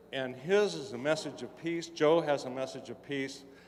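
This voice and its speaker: Noticeable background noise beneath speech of ordinary pitch variation. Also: man. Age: 60s. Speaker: audience member at convention. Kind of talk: audience question at convention panel.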